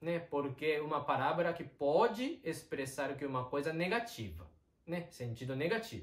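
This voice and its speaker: At a moderate pace, a man with a Japanese accent talks at a fairly high pitch with lively intonation. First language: Japanese (speaking Portuguese). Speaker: Japanese teacher. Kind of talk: online language lesson.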